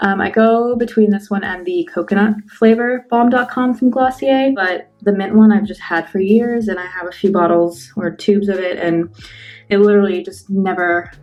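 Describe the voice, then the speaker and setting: With music in the background, a woman speaks at a medium pitch with ordinary pitch variation. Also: moderate pace. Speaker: beauty vlogger. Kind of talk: tutorial. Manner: casual, filler-heavy.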